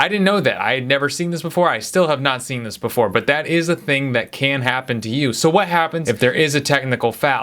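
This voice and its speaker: The man's tone is bright and sharp, and his pace is fairly quick. The recording is very clean, with a silent background. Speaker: basketball video host. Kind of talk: casual explainer monologue. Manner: fast.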